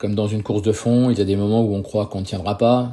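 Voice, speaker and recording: This man's fairly low, somewhat breathy voice moves at a fairly quick pace with fairly even intonation. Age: 60s. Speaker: retired business owner and karate teacher. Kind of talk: testimony. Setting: podcast interview.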